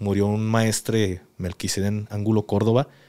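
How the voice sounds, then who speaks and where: A man speaks at a moderate pace with a fairly low pitch. The background is quiet. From Mexico. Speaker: podcast host, former soldier; podcast host. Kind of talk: interview. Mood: serious, calm storytelling. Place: studio. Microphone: studio mic.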